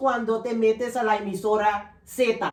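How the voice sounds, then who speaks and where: Fairly slow talking from a woman, with noticeable background noise behind it. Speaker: interview host. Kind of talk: interview questions.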